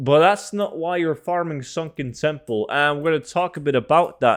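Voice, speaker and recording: A man talks at a moderate pace in a Norwegian accent. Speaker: gaming YouTuber. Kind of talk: video game tutorial. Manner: casual, filler-heavy.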